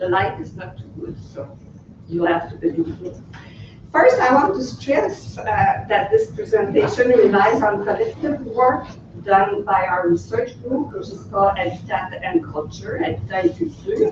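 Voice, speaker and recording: A woman in a Quebec accent at a moderate pace, with big swings in loudness, audible room echo and noticeable background noise. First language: French. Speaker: researcher. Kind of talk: conference presentation. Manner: hesitant; reading from text.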